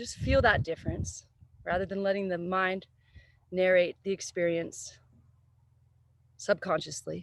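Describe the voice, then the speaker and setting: A woman's calm, soothing, medium-pitched voice at a fairly slow pace, with fairly even intonation, big swings in loudness, and long, frequent pauses. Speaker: yoga teacher. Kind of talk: guided yoga class.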